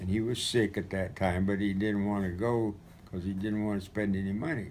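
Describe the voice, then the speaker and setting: A man's fairly low voice at a fairly quick pace, with fairly even intonation and audible room echo. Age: 80s+. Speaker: retired missionary recounting memories. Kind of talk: storytelling. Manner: halting.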